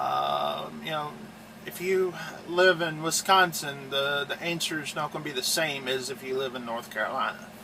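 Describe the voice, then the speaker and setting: Noticeable background noise surrounds a man with an American accent. His pitch is fairly high and his pace fairly slow. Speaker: truck driver and video host. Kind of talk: casual tutorial. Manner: halting, filler-heavy.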